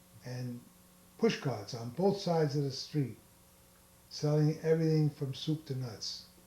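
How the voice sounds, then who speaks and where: Speaking with a New York accent, a man uses a fairly high pitch and a dark, mellow, somewhat breathy tone at a fairly slow pace with long, frequent pauses. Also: ordinary pitch variation. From New York City. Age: 80s+. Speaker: grandfather interviewed by family. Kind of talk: oral history interview.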